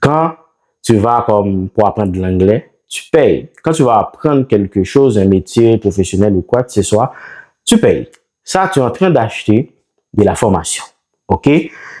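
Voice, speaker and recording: With a Haitian accent, a man of medium pitch talks at a fairly slow pace in a dark, mellow tone with lively intonation. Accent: non-native French, Haitian Creole speaker. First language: Haitian Creole (speaking French). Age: 30s. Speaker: online seller and business YouTuber. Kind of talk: business talk to camera. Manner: halting, many fillers.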